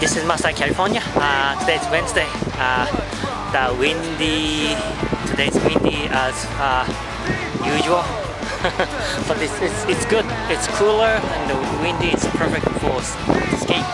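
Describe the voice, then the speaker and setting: Over loud background music, a man speaks at a moderate pace with long, frequent pauses and ordinary pitch variation, the sound dry with no echo. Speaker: skater vlogger. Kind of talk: casual vlog chat. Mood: cheerful, laughing often. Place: street. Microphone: phone near.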